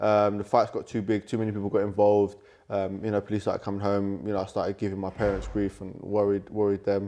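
Over a quiet background, a man with a London accent speaks very fast in a fairly low, dark, mellow voice with monotone, flat intonation. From London, England. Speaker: Muay Thai world champion fighter. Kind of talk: interview conversation.

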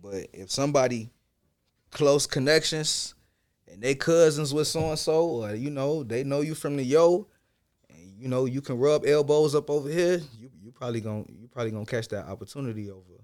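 Pitch varies in an ordinary way while the pace stays moderate. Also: man. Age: 20s. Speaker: rapper. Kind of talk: casual chat.

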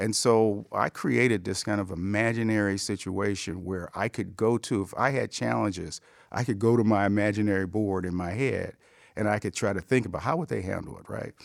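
This is a plain, everyday voice from a man with an American accent, fairly low in pitch, moving at a fairly quick pace with ordinary pitch variation on a very clean recording with a silent background. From Cleveland, Ohio. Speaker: business executive. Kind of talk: interview. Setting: studio.

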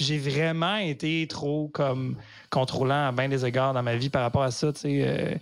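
This man has an ordinary speaking voice at a fairly high pitch. He goes at a fairly slow pace with fairly even intonation. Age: 30s. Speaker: comedian. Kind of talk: casual chat. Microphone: poor recording audio.

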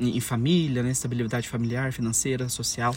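The man's voice comes across as somewhat breathy. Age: 20s. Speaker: podcaster. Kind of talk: solo podcast monologue. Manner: hesitant, many fillers.

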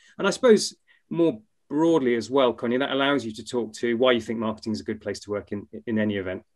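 A man's medium-pitched voice at a very fast pace. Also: ordinary pitch variation. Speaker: co-host. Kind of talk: casual interview.

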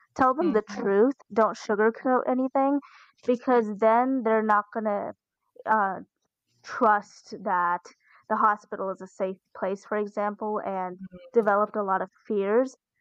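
In a normal speaking voice, a woman talks at a fairly high pitch and a fairly slow pace with fairly even intonation, in a dry, close sound with no echo and a quiet background. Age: 20s. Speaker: college student with congenital heart disease. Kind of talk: interview testimony.

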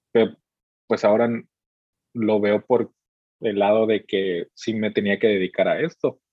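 Fairly low male voice, fairly slow and fairly even in intonation, broken by long, frequent pauses. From Mexico, Veracruz. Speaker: music videographer. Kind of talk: casual interview.

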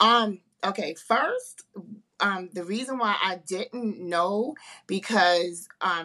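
Speaking very slowly with a New York accent, a woman uses a medium pitch, ordinary pitch variation and a bright, sharp tone. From Harlem, New York. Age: 50s. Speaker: author and breast cancer survivor. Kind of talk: casual interview.

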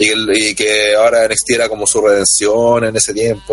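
A man speaks with a Chilean accent at a fairly quick pace. His intonation stays fairly even, with music playing in the background. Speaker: wrestling podcast panelist. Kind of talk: casual chat. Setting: online voice call.

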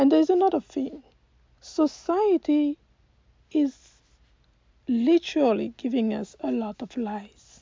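This woman's high pitch carries lively intonation. She moves at a fairly slow pace with long, frequent pauses. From Côte d'Ivoire. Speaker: life coach. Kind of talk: motivational talk.

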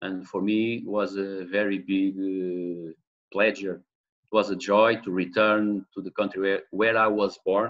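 A man with a Portuguese accent speaks at a fairly low pitch and fairly slow pace. His intonation is monotone and flat. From Portugal. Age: 40s. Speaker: football manager. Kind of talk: interview. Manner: halting.

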